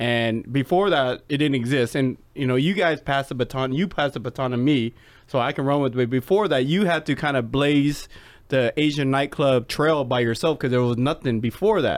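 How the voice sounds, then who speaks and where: A man with an American accent has a plain, everyday voice, with a fairly high pitch and ordinary pitch variation. The recording is very clean, with a silent background. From Seattle, US Pacific Northwest. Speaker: podcast host and former nightclub promoter. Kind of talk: casual chat.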